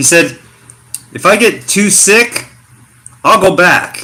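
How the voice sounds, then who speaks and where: A man talks with an American accent. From US Pacific Northwest, Portland Oregon. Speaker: expat vlogger. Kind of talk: livestream casual chat. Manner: casual, hesitant with many fillers.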